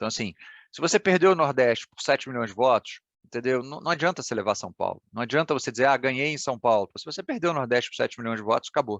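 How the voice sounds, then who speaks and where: Against a quiet background, a man speaks at a very fast pace with lively intonation. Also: medium pitch for a man, dry, close sound with no echo. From Ceará, Brazil. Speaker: political analyst. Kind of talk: event talk. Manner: conversational, many fillers.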